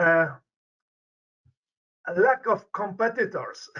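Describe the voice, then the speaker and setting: A man speaks with a Polish accent and a bright, sharp tone. His pace is fairly slow. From Poland. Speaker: medical researcher, professor. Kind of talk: interview. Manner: halting, repetitive stumbles.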